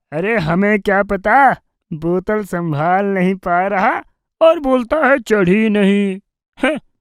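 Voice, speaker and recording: Putting on a character voice, a woman speaks at a very slow pace with lively intonation and a medium pitch. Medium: audio drama.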